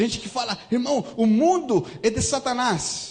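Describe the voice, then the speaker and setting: A man talks at a moderate pace with a slight non-native accent. His intonation is lively. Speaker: visiting pastor. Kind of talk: sermon. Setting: church service. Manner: animated.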